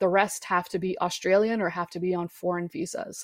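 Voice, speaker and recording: At a moderate pace and medium pitch, a woman speaks in a plain, everyday voice against a quiet background. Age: 30s. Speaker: football commentator. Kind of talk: casual chat.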